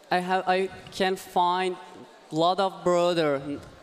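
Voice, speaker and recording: A man's high-pitched voice at a very slow pace. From Iran. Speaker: robotics team mentor and university lecturer. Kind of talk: interview. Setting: commentary booth at robotics event. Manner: halting, many fillers.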